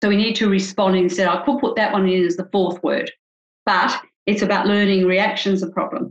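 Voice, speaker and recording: The speaker keeps a fairly quick pace with very even loudness. The intonation stays fairly even. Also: woman, medium pitch for a woman. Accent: Australian. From Australia. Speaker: couples psychologist. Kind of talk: interview.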